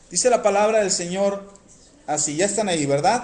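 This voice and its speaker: A high-pitched man talks with audible room echo around him. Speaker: preacher. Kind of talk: sermon. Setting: radio broadcast.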